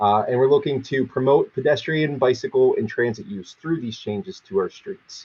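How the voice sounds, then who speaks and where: Lively intonation with a somewhat breathy quality. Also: man, fairly high pitch for a man. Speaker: city traffic engineer. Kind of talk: public presentation. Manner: fast; halting, many fillers.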